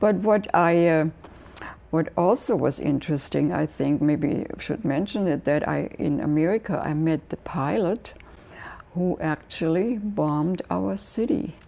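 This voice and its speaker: With a German accent, a woman speaks fairly slowly at a fairly low pitch, her intonation lively. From Germany, Hanover. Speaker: memoir author. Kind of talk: interview. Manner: halting.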